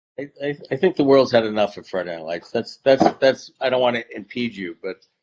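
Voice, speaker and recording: In an unremarkable speaking voice, a man talks at a fairly quick pace and medium pitch, his intonation lively and his loudness swinging widely, the sound dry and close with no echo. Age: 60s. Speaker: author. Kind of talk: casual chat.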